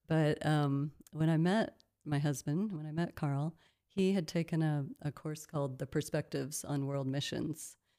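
A woman with an American accent, very deep and low in pitch, dark and mellow in tone, fairly slow and fairly even in intonation, in a very clean recording with a silent background. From US Midwest. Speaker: missionary. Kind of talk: interview.

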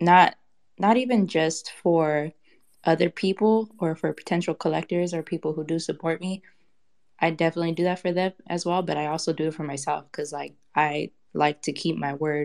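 With a fairly low pitch and an ordinary speaking voice, a woman talks at a moderate pace in a very clean recording with a silent background. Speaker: digital artist. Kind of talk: casual chat. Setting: audio chat room.

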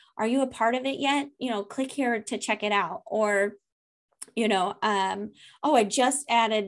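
This woman's voice sits fairly high, moving at a fairly slow pace with ordinary pitch variation against a quiet background. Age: 30s. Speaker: email marketing strategist. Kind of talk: casual interview. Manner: animated.

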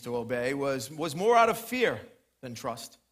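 Over audible room echo, a man speaks in an animated tone at a moderate pace. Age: 40s. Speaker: preacher. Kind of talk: sermon.

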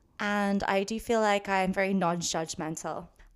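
In an English accent, a woman speaks at a moderate pace with fairly even intonation on a very clean recording with a silent background. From London, England. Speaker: painter and photographer. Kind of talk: casual interview. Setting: home art studio.

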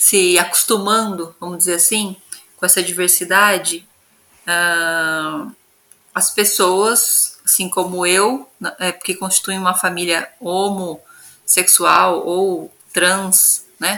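At a very slow pace, a woman speaks at a medium pitch in a monotone, flat intonation. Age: 30s. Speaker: geographer and researcher, mother. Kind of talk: interview.

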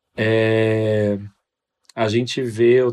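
A man's medium-pitched voice comes across with monotone, flat intonation. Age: 20s. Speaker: medical student. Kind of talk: casual chat.

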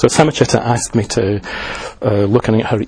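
Over noticeable background noise, a man speaks at a fairly quick pace with a fairly low pitch and fairly even intonation. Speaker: Buddhist teacher and liaison officer. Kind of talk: lecture. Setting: talk to an audience. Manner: hesitant, self-correcting.

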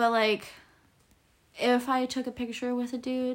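A woman speaks in a high voice with monotone, flat intonation. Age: 20s. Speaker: graphic designer. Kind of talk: casual chat. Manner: hesitant, filler-heavy.

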